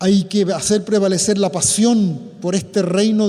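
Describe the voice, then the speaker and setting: Fairly slow male speech, high in pitch, amid noticeable background noise. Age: 70s. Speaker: priest. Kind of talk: public talk. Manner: formal.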